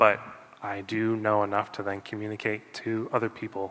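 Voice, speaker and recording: Recorded very cleanly against a silent background, a man speaks at a fairly low pitch with monotone, flat intonation. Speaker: city council candidate. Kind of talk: candidate forum closing statement.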